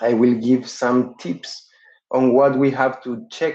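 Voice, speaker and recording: A man's dark, mellow voice at a medium pitch with a non-native accent, at a very slow pace. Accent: non-native English speaker. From Uruguay. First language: Spanish. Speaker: dental professor. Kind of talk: webinar lecture. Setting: online webinar. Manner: halting with frequent fillers.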